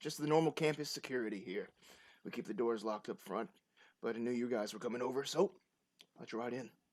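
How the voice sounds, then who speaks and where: A raspy, put-on character voice rattles along at a very fast pace. Long pauses interrupt it often. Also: man, medium pitch for a man. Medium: actual play.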